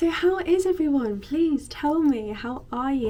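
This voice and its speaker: A woman with an English accent, lively intonation and an upbeat tone. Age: 20s. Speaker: lifestyle vlogger. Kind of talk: casual talk to camera. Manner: upbeat, chatty.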